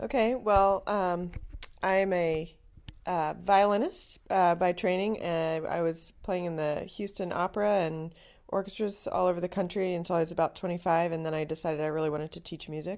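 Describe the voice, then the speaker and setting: In a very clean recording with a silent background, a woman with an American accent and an ordinary speaking voice talks at a moderate pace, fairly low in pitch with fairly even intonation. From North Carolina, US South. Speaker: high school music director. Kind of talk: interview.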